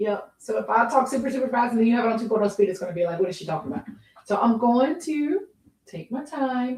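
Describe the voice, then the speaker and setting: A woman's high voice with a Southern US accent. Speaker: podcast host, housewife. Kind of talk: casual livestream chat. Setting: live video stream.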